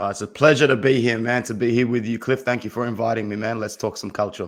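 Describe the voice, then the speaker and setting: At a very fast pace, a man speaks at a medium pitch with fairly even intonation. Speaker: football fan commentator. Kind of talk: casual chat.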